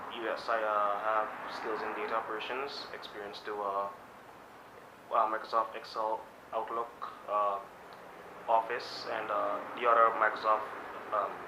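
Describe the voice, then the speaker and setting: Amid audible room echo, a man with a medium pitch speaks at a fairly slow pace. His intonation is monotone and flat, with long, frequent pauses. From Guyana. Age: young, 19. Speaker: job applicant. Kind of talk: job interview. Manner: halting, many fillers.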